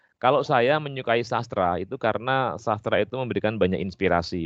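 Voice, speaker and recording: Speaking at a fairly quick pace with lively intonation, a man with a strong Javanese accent is heard in a dry, close sound with no echo over a quiet background. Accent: strong Javanese accent (medok). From Java, Indonesia. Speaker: English literature lecturer. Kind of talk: podcast interview. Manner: hesitant fillers (eee).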